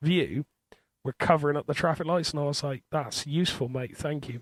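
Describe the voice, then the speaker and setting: Dry and close with no echo, a man's voice carries a strong Bristol accent. His pitch is fairly high and his intonation fairly even. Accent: thick Bristol. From Bristol, Southwest England. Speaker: podcast co-host. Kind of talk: casual chat.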